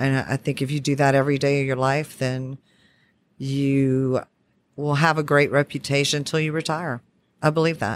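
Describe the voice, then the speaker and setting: On a very clean recording with a silent background, a woman with a Southern Louisiana accent speaks at a moderate pace in a very deep, low pitch with monotone, flat intonation. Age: 40s. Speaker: oil and gas sales manager. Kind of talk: interview. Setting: at a trade conference.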